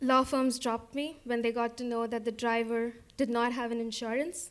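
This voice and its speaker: In an Indian accent, a woman with a fairly high pitch speaks at a moderate pace in a monotone, flat intonation. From India, Kolkata. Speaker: storyteller. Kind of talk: personal storytelling.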